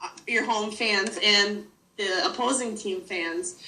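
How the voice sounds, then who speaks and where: A woman's fairly high voice in a northern US accent at a very slow pace. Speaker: sports fan. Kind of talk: interview. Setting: video call.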